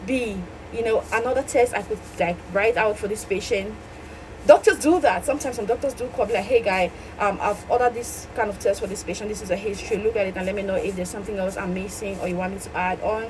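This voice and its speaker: A woman talks very fast in a fairly high voice with ordinary pitch variation. Noticeable background noise runs under her speech. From Cameroon. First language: French. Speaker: medical laboratory scientist and exam coach. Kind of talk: tutorial.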